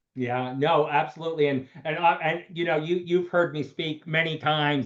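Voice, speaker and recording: Speaking at a moderate pace with an American accent, a man has a plain, everyday voice, fairly high in pitch with ordinary pitch variation. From Pennsylvania, US. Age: 60s. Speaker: doctor, show host. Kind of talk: panel discussion.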